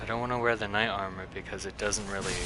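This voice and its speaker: Through audible room echo and noticeable background noise, a man talks with fairly even intonation. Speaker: video game streamer. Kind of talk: casual gameplay commentary. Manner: monotone; halting.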